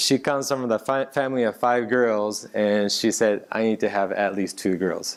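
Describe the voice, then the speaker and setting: A moderate pace, ordinary pitch variation and a Japanese accent. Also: man. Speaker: tech company executive. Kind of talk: interview on stage. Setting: stage with audience. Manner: halting.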